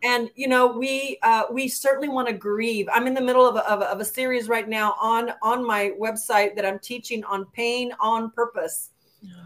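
A woman with an American accent and an ordinary speaking voice talks at a moderate pace and a fairly high pitch, with fairly even intonation and hardly any pauses. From El Paso, Texas. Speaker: author and entrepreneur. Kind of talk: interview.

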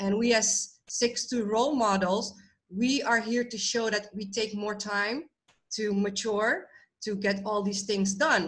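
An ordinary speaking voice keeps a fairly slow pace and fairly even intonation. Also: woman, fairly high pitch for a woman. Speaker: podcast co-host. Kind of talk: casual discussion.

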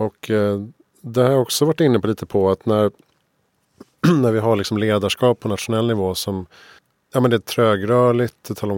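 The sound is dry and close with no echo as a man speaks at a moderate pace, pausing long and often. His medium pitch stays in fairly even intonation. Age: 40s. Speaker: podcast host. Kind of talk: interview conversation. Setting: studio.

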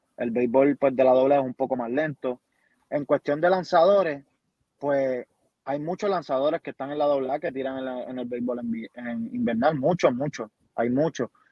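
A plain, everyday voice moves at a moderate pace, its pitch varying in an ordinary way. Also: man, medium pitch for a man. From Puerto Rico, Yabucoa. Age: 20s. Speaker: baseball player. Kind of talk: interview.

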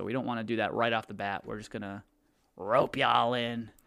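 A man's unremarkable speaking voice, medium in pitch, at a fairly quick pace on a very clean recording with a silent background. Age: 20s. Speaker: podcast co-host. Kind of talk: casual chat.

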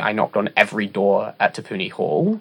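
A man talks with a New Zealand accent. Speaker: student and former parliamentary candidate. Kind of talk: casual chat.

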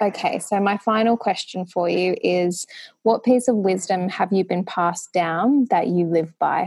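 With an unremarkable speaking voice, a woman talks at a medium pitch and a fairly slow pace, showing ordinary pitch variation and very even loudness on a very clean recording with a silent background. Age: 30s. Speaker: podcast host. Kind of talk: interview.

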